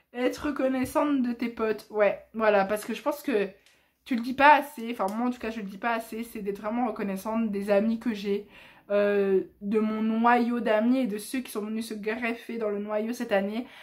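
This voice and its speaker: The voice belongs to a woman with a fairly high pitch. The recording is very clean, with a silent background. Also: moderate pace. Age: 20s. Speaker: YouTuber. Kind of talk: casual vlog monologue. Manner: loud; animated.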